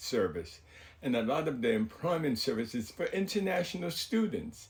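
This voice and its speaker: A somewhat breathy man speaks with very wide pitch swings. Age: 70s. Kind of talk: personal storytelling to camera. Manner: casual, rambling.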